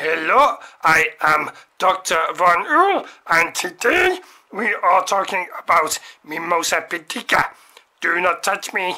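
A cartoonish character voice at a middle pitch moves along at a fairly slow pace. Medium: puppet show. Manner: formal, pedantic, tag questions.

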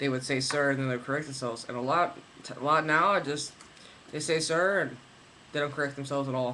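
A man with a fairly high voice talks very fast in a fairly even tone, stopping often for long pauses over light background noise. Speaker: vlogger. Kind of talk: video diary. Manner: rambling, halting with fillers. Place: home room. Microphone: webcam.

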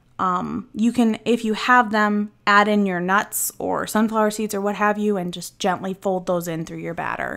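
A woman talks in a normal speaking voice with an American accent. Her intonation is fairly even, her pace moderate, with hardly any pauses. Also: medium pitch for a woman. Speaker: YouTube channel assistant. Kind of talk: cooking tutorial. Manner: casual, chatty.

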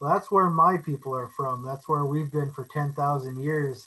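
This man's voice has a bright, sharp tone and a fairly high pitch. He keeps a moderate pace with fairly even intonation. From Alaska. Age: 30s. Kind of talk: presentation. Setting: video call.

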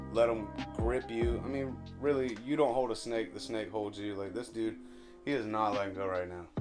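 A man at a moderate pace, with ordinary pitch variation and clear music in the background. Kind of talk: casual tutorial chat. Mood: relaxed, confident. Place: home room. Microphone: phone near.

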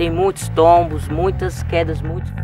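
Over light background noise, a man's voice comes through dry, with no echo. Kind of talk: explainer interview answer. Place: street.

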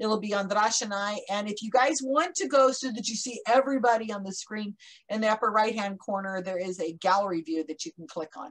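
A woman talks at a fairly quick pace with a fairly high pitch and ordinary pitch variation. It is an ordinary speaking voice. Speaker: conference moderator. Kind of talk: casual introduction. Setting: video call. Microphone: earbuds.

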